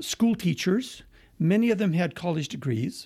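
A man with an American accent speaks in a high pitch with a dark, mellow tone. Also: very clean recording, silent background. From eastern Washington, US. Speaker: museum curator. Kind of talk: interview.

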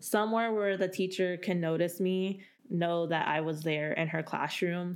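A woman with a normal speaking voice and an American accent talks at a moderate pace, medium in pitch, with fairly even intonation. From California, Central Valley. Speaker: college diversity program coordinator. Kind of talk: podcast interview.

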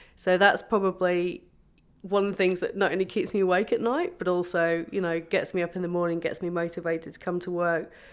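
A woman in an English accent, fairly quick and monotone with flat intonation, on a very clean recording against a silent background. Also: medium pitch for a woman. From England. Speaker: epidemiologist. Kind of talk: interview.

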